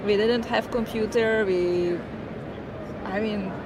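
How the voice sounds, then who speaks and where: A woman's fairly slow, fairly even-toned speech amid audible room echo and noticeable background noise. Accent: Hungarian. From Hungary, central small town. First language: Hungarian. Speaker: tech consultant and business owner. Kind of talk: interview. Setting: tech conference.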